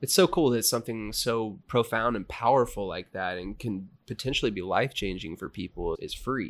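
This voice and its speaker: Lively intonation runs through a normal speaking voice at a moderate pace with hardly any pauses. The recording is very clean, with a silent background. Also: man, medium pitch for a man. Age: 30s. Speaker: podcast host. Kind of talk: casual chat.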